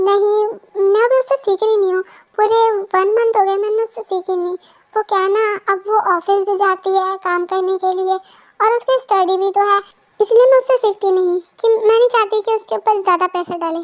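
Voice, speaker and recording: In a put-on character voice, a female-sounding speaker talks at a fairly quick pace with an extremely high pitch. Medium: read story. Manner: polite, modest.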